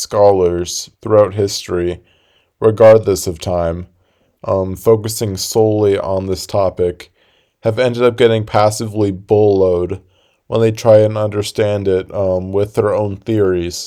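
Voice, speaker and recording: In a dark, mellow tone, a man speaks fairly slowly with a fairly low pitch and fairly even intonation, on a very clean recording with a silent background. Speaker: YouTube commentator. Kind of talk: casual video essay. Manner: monotone; calm.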